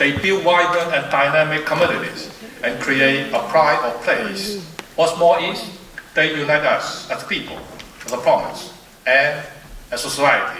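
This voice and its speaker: A man at a moderate pace with long, frequent pauses, light background noise and audible room echo. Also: ordinary pitch variation. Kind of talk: formal speech. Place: stage. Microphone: podium.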